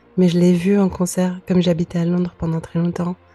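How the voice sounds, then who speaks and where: The intonation is monotone and flat. Noticeable background noise sits behind the voice. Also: woman. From Lebanon (Beirut). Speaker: singer-songwriter. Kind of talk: interview. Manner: hesitant, many fillers.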